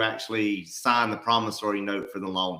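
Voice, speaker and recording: A man's bright, sharp voice in an Alabama accent, at a moderate pace with fairly even intonation. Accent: Southern (Alabama). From US South, Alabama (Mobile). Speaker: real estate investor and livestream co-host. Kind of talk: live stream Q&A. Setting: livestream.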